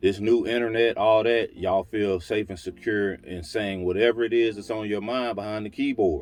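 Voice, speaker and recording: Against a quiet background, a man speaks at a moderate pace with a fairly low pitch. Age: 50s. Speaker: menswear style vlogger. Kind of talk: casual solo video talk.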